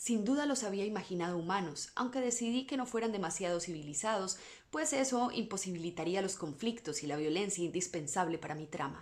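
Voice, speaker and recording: With a normal speaking voice, the delivery runs at a fairly quick pace with lively intonation. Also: woman. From Latin America. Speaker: voice-over artist. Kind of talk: bedtime story reading.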